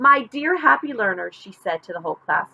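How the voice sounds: This is a natural reading voice.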